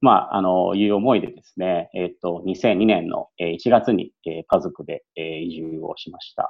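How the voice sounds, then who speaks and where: A man speaks with hardly any pauses. His loudness swings widely. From Yokohama, Japan. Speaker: former returnee student. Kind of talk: interview. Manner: hesitant with many fillers; polite.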